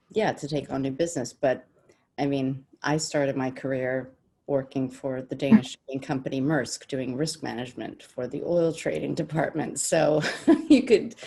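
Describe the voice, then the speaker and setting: Speaking at a moderate pace with an American accent, a woman has a very deep, low pitch and a dark, mellow tone. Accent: American-sounding. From Denmark/Sweden, childhood partly in the US. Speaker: business development director. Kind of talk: panel discussion. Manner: hesitant, many fillers.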